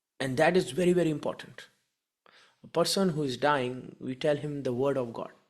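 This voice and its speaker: The speaker has a non-native accent and moves at a fairly quick pace. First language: not English. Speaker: spiritual care educator. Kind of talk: lecture.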